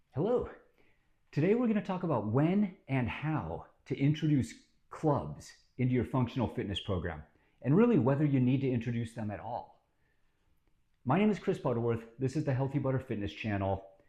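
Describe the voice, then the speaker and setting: Against a quiet background, the voice moves at a fairly quick pace with long, frequent pauses, very wide pitch swings, vocal fry and a dark, mellow tone. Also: man, medium pitch for a man. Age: 50s. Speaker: fitness channel host. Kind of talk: informal fitness talk to camera. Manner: casual with many filler words.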